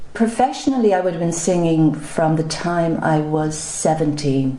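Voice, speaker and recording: A woman with an Irish accent and a very deep, low pitch, at a moderate pace, with audible room echo. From Ireland, County Meath. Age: 60s. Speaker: singer and photographer. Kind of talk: interview.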